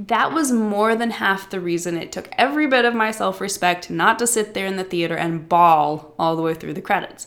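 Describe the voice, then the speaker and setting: At a medium pitch and a moderate pace, a woman speaks with lively intonation. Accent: Midwestern. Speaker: writing coach podcast host. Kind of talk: scripted narration.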